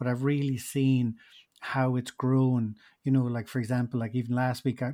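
A man's medium-pitched voice with a Munster Irish accent, a dark, mellow tone and monotone, flat intonation, in a dry, close recording with no echo. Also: very clean recording, silent background. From Ireland, Tipperary. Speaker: podcast producer and hotel owner. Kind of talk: interview.

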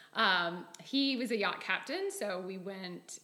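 A woman talks with ordinary pitch variation. The recording carries noticeable background noise and audible room echo. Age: 40s. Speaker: entrepreneur, sales team leader. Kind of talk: interview podcast.

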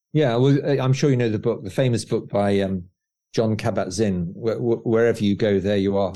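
In a normal speaking voice, a man talks fairly quickly at a medium pitch with ordinary pitch variation against a quiet background. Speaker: author. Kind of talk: casual interview chat.

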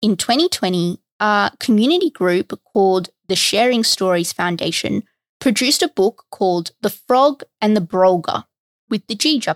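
A woman with an Australian accent, medium pitch and lively intonation at a moderate pace, in a very clean, dry, close recording with a silent background and no echo. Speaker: history podcast host. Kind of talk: scripted narration.

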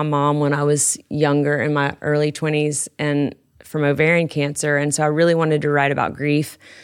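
A woman's very deep, low voice in a monotone, flat delivery, on a very clean recording with a silent background. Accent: Southern US. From West Tennessee. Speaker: country songwriter. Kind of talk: casual chat.

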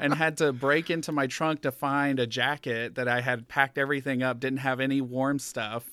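A man with an American accent speaks at a moderate pace in a medium pitch, his intonation flat and monotone. His tone is bright and sharp, and the recording is very clean with a silent background. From US South, rural southeast Georgia. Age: 30s. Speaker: school board member. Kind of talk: casual interview. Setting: his office.

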